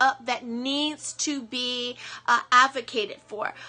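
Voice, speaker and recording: In a raised, projected voice, a woman with an American accent sounds animated, with a bright, sharp tone and a high pitch. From US East Coast. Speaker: motivational speaker. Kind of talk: motivational talk.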